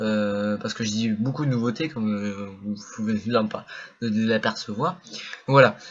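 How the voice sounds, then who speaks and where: With long, frequent pauses, a man talks at a fairly low pitch and ordinary pitch variation. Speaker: gaming youtuber. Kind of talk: channel update talk. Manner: fast.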